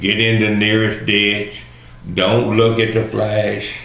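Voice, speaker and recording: Speaking fairly slowly with a Texan accent, a man has a fairly low pitch, and there is audible room echo and noticeable background noise. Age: 60s. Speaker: video blogger. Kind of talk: personal monologue. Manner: casual, folksy.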